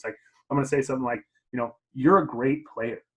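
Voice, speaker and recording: Talking at a very fast pace, a man speaks in a medium pitch with ordinary pitch variation. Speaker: teacher and football coach. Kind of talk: casual chat. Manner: loud.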